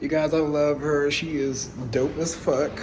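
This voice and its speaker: Noticeable background noise and audible room echo around a man's fairly high-pitched speech. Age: young. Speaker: beauty vlogger, makeup artist. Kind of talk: tutorial voiceover; casual vlog. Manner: animated.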